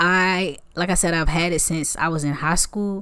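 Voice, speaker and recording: The speech unfolds at a fairly slow pace in a very clean recording with a silent background. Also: woman. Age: 20s. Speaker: podcast host and college student. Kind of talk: casual faith talk. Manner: animated.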